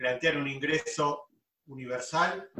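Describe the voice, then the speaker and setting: A man in a Buenos Aires accent. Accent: Buenos Aires Spanish (rioplatense). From Greater Buenos Aires. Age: 40s. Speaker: business administrator, podcast co-host. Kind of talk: casual chat.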